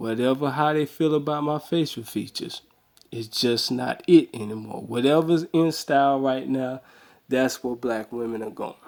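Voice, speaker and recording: A man with a medium pitch speaks at a moderate pace, his pitch shifting in an ordinary way. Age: 30s. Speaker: vlogger. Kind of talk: video response monologue. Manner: casual, repetitive.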